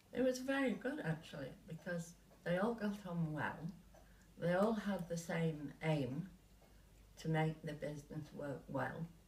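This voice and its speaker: Amid noticeable background noise, a woman with a fairly low pitch speaks at a fairly slow pace with lively intonation. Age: 80s+. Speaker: retired company co-founder. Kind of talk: interview answer.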